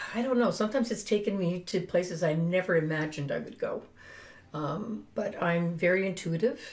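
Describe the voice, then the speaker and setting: A woman's somewhat breathy voice, fairly quick in pace, with ordinary pitch variation. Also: medium pitch for a woman. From Finland. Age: 70s. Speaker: spiritual guide and business owner. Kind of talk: interview.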